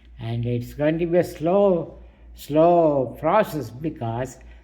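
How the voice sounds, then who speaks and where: Here a man speaks at a fairly slow pace with ordinary pitch variation. There is audible room echo. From India, Telugu. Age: 80s+. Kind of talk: personal monologue. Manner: halting, many fillers.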